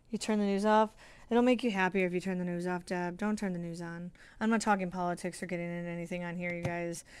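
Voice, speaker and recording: A woman talks at a very fast pace in a fairly low pitch. The recording is very clean, with a silent background. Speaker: sewing livestreamer. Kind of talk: casual livestream chat. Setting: sewing room livestream. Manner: animated.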